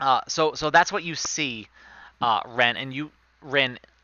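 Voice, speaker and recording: This man speaks with a Rhode Island accent. His intonation is lively. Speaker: game master. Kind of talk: tabletop role-play narration; reading aloud. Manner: hesitant, many fillers.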